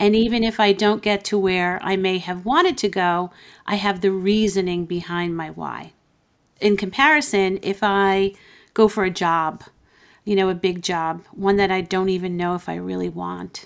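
With a normal speaking voice, a woman talks at a moderate pace and medium pitch, her intonation fairly even, in a very clean recording over a silent background. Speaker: business coach. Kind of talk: interview conversation.

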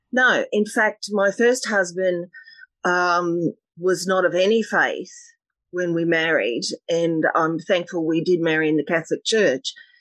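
A woman with an Australian accent, fairly low in pitch, with ordinary pitch variation, very even loudness and a fairly slow pace. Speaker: meditation teacher and energy healer. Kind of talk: casual interview.

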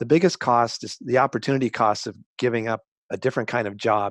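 In an unremarkable speaking voice, a man speaks at a fairly quick pace with medium pitch and ordinary pitch variation, in a dry, close sound with no echo. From Colorado. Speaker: journalist and professor. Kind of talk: interview.

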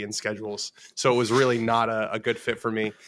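A man speaks at a fairly quick pace with a medium pitch and a monotone, flat intonation. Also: very clean recording, silent background. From US West Coast, West Los Angeles. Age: 20s. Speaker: sports journalist. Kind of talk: podcast interview.

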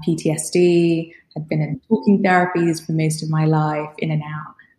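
A fairly slow, somewhat breathy woman's voice, fairly low in pitch, dark and mellow in tone, with monotone, flat intonation. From Rwanda. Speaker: coaching company founder and technologist. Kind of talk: casual interview chat.

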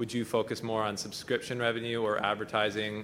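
A man with fairly low pitch and a bright, sharp tone. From South Africa. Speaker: shareholder asking questions. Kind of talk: audience question.

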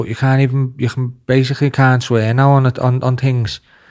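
Flat and monotone, a man speaks at a moderate pace. His pitch is medium. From Liverpool. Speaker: podcast host. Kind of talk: casual chat.

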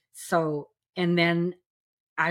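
Over a silent background in a very clean recording, a woman speaks with a fairly low pitch. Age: 60s. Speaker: celebrant and metaphysical minister. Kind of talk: casual chat. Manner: animated.

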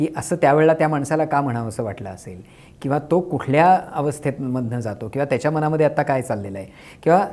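This is a normal speaking voice, and its pitch varies in an ordinary way. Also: man, fairly high pitch for a man. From Kolhapur, Maharashtra, India. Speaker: novelist and playwright. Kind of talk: interview conversation.

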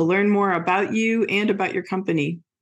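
Woman's plain, everyday voice at a medium pitch, with ordinary pitch variation and a moderate pace. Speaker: podcast host. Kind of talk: interview.

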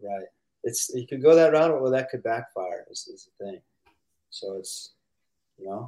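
With a Midwestern American accent, a man talks at a moderate pace, leaving long, frequent pauses and making big swings in loudness. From US Midwest, St. Louis, Missouri. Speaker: professional pickleball player. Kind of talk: casual interview.

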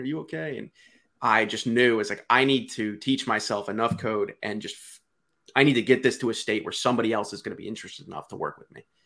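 A man with an American accent, medium in pitch with ordinary variation, bright and sharp in tone, at a fairly quick pace on a very clean recording with a silent background. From Delaware, US. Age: 20s. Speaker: tech startup CEO. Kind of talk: casual interview chat.

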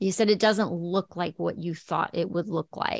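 Ordinary pitch variation in an American accent. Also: woman. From El Paso, Texas. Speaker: podcast host.

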